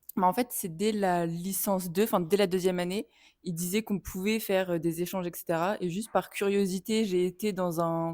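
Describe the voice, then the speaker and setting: Speaking at a moderate pace with fairly level intonation, a woman with a medium-pitched voice is captured in a very clean recording against a silent background. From France. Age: 20s. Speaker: film student. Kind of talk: interview. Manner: hesitant.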